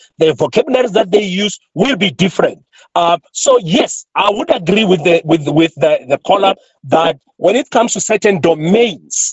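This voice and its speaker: At a moderate pace, a man talks with a high pitch. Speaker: sociolinguistics professor. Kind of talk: radio interview.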